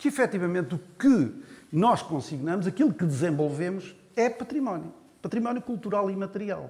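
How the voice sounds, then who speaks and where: A man speaks at a high pitch with very wide pitch swings. His pace is moderate. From Portugal, Coimbra district. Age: 60s. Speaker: folklore federation representative. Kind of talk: panel debate. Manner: hesitant, many fillers.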